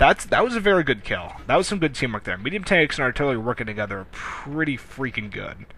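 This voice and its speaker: Speech races along at a very fast clip with hardly a pause. The pitch swings very widely, and the tone is bright and sharp. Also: man. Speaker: gameplay commentator. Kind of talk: gameplay commentary. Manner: animated.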